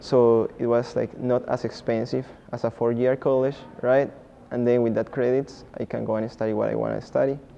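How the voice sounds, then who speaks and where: A man with a Spanish accent, medium pitch, monotone, flat intonation and a fairly quick pace, over noticeable background noise. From Colombia. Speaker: community college student. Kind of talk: testimony.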